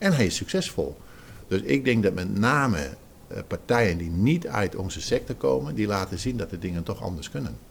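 A man with a very deep, low voice and vocal fry. His pitch swings very widely at a moderate pace. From Zeeland, Netherlands. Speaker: retail trade association director. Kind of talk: interview.

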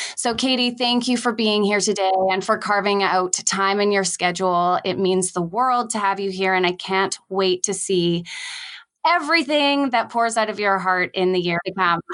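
The speaker uses a normal speaking voice at a moderate pace. Loudness stays very even, and the pitch varies in an ordinary way. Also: woman, medium pitch for a woman. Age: 30s. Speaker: podcast host. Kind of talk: casual interview chat.

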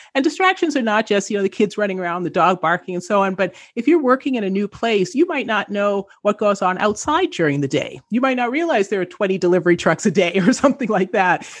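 Speaking very fast with hardly any pauses, a woman with a Canadian accent uses lively intonation at a medium pitch over a quiet background. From Canada. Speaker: entrepreneur and author. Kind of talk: interview.

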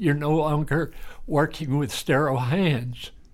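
A man with a Texan accent speaks at a fairly slow pace and a fairly high pitch, with lively intonation. The recording is very clean, with a silent background. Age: around 80. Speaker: retired country doctor. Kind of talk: interview.

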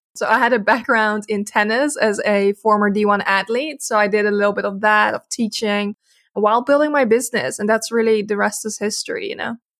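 Moderate pace and fairly high pitch from a female speaker. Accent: Dutch. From Netherlands. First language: Dutch. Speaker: social media agency owner. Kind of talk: casual interview.

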